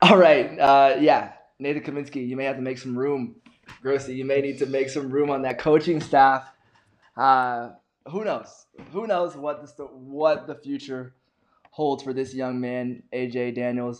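With an ordinary speaking voice, a man talks at a fairly slow pace and a fairly high pitch, his intonation fairly even but his loudness swinging widely. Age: 20s. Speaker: podcast host. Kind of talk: casual interview.

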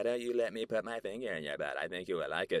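The recording has a dry, close sound with no echo. A man speaks at a fairly quick pace. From New York. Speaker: podcast host and comedian. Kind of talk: casual solo monologue. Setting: apartment. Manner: animated.

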